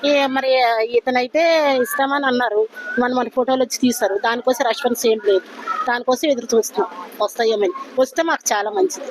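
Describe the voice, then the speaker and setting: A woman speaks at a high pitch over noticeable background noise. Her loudness stays very even. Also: ordinary pitch variation. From Vizianagaram, Andhra Pradesh, India. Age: old. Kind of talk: street interview answer.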